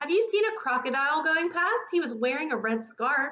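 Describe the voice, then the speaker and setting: Using a put-on character voice, a woman speaks at a high pitch with very wide pitch swings. Her pace is fairly quick. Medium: read story. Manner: polite, anxious.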